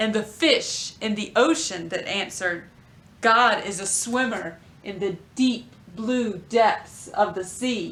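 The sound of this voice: The clip is in an unforced reading voice with ordinary pitch variation.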